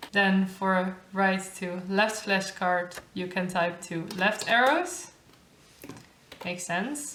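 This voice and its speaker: Amid noticeable background noise and audible room echo, a woman with a Dutch accent speaks at a medium pitch and a very slow pace. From Netherlands. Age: 20s. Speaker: YouTuber, master's student. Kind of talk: tutorial. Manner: casual.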